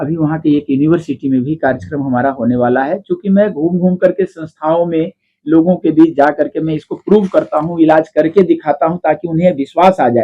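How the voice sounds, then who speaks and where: A man with a fairly high pitch has an ordinary speaking voice with ordinary pitch variation. He talks at a moderate pace with hardly any pauses. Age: 60s. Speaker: faith healer. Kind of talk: interview.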